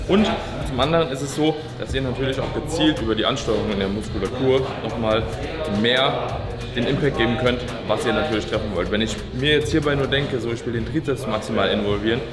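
A man at a fairly quick pace with ordinary pitch variation, clear music in the background. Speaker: fitness coach. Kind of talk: tutorial. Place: gym.

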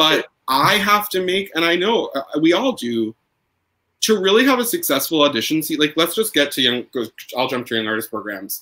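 Bright and sharp in tone, a man talks at a fairly quick pace with vocal fry. His pitch swings very wide and his loudness swings big. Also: fairly high pitch for a man. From New York. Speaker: opera singer. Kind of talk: casual chat. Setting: video call.

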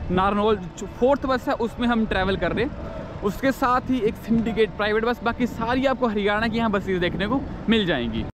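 High-pitched male voice at a moderate pace, fairly even intonation, dry sound with no echo and noticeable background noise. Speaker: travel vlogger. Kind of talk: casual vlog chat. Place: station. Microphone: phone near.

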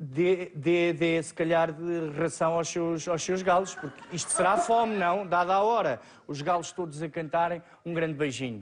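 Against noticeable background noise, a man speaks with a high pitch and ordinary pitch variation. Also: fairly slow pace. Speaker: TV show host. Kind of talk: TV talk show moderation. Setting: studio.

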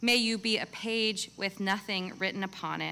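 Her tone is solemn. The woman speaks fairly slowly with fairly even intonation. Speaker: multifaith chaplain. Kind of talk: benediction prayer at a graduation ceremony. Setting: stage with audience at commencement. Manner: solemn, measured, reverent. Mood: calm, solemn, warm. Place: stage. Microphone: podium.

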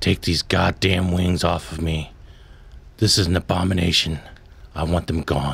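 Putting on a character voice, a man speaks at a moderate pace with a raspy, very deep, low pitch and long, frequent pauses over light background noise. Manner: sardonic, bitter.

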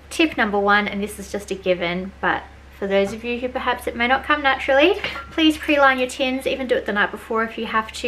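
A woman talks at a fairly quick pace. Light background noise sits behind her. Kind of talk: tutorial. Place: kitchen. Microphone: phone near.

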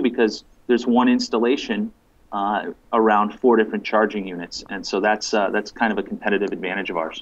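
The man's delivery keeps a fairly even intonation. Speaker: remote guest. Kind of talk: interview answer. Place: home room. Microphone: video call.

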